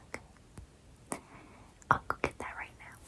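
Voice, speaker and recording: A woman whispers in a gentle tone. Noticeable background noise runs underneath. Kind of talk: ASMR role-play, sleep-aid talk to camera. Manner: soft, gentle.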